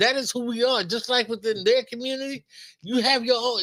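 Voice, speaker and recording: A man with an American accent projects his voice loudly. He talks very fast in a bright, sharp tone. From Los Angeles, South Central. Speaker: podcast co-host. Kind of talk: casual chat.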